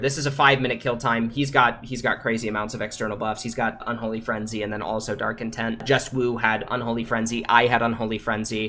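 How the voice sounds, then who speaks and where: Music plays in the background as a man speaks fairly quickly. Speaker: game streamer. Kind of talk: livestream Q&A. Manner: stutters; casual, many fillers.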